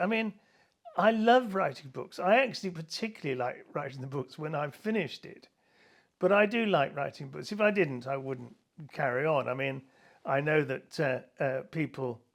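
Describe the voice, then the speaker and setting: A man in an English accent speaks at a moderate pace, his pitch swinging very widely and his loudness rising and falling in big swings. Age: 70s. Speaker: author. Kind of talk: interview.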